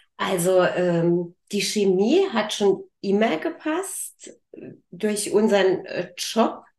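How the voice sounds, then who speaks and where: A woman speaks at a very slow pace. Her medium-pitched voice has lively intonation. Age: 50s. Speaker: business owner. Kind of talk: interview. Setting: studio.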